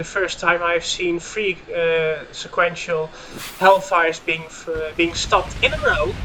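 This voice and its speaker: A man speaks at a fairly slow pace with a Dutch accent. Noticeable background noise runs under his voice. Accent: Dutch accent, sounds a bit German. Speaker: gaming YouTuber and commentator. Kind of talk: live commentary. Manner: hesitant with fillers.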